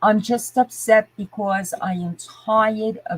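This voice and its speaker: A woman speaks at a fairly slow pace with a fairly high pitch and a somewhat breathy quality. The sound is dry and close, with no echo. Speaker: livestreamer. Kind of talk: live stream chat rant. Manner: animated.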